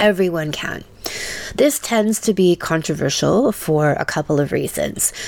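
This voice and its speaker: A woman with a fairly low pitch speaks at a fairly slow pace with lively intonation over noticeable background noise. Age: 50s. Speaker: sex and relationship coach. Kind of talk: scripted narration.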